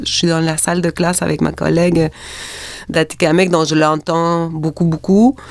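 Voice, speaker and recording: The talking moves at a moderate pace over noticeable background noise. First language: Spanish (speaking French). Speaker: linguist and college teacher. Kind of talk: podcast interview. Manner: hesitant, many fillers and repetitions.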